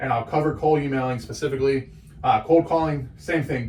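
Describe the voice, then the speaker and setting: At a fairly quick pace, a man talks in a fairly high pitch with ordinary pitch variation. His voice is somewhat breathy. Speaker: small business owner teaching marketing. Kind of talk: tutorial. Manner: fast; animated.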